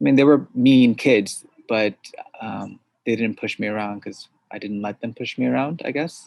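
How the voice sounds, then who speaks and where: At a moderate pace, a man with an American accent speaks in a medium pitch, with ordinary pitch variation and big swings in loudness. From suburbs of New York City. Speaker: entrepreneur and product manager. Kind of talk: interview. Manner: hesitant, many fillers.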